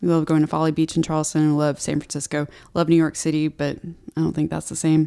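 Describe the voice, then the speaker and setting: With an American accent, a woman talks at a very fast pace in a very deep, low pitch, her tone dark and mellow and her intonation monotone and flat, on a very clean recording with a silent background. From Texas, Houston. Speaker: health and nutrition coach. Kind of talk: casual chat.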